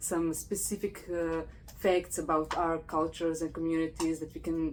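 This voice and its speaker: A woman speaks with a fairly low pitch. Her pace is moderate. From Croatia. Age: 40s. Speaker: podcast host, PhD student. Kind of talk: casual interview conversation.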